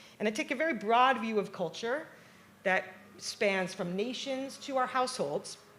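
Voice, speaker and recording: A woman with a New York accent speaks at a moderate pace. Her pitch is fairly high and her intonation lively. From New York, Long Island. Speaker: professor. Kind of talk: keynote talk. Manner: animated.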